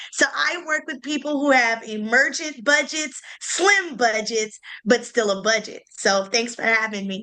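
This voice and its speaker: A woman's high voice with a Southern US accent, lively intonation and a fairly slow pace, over noticeable background noise. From US South, Greensboro, North Carolina. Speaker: event planner. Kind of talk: online panel discussion.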